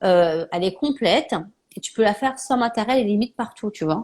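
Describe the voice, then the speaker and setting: A woman's voice with ordinary pitch variation. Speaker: naturopath and live show host. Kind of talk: casual live interview chat. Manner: fast.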